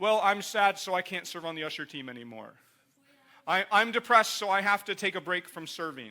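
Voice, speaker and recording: A man puts on a whiny character voice, raised and projected, at a high pitch. He talks at a fairly quick pace. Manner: mocking, whiny.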